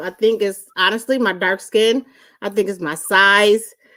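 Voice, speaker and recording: A woman speaks loudly in an animated tone at a moderate pace, her fairly high voice bright and sharp. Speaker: live show co-host. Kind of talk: casual chat.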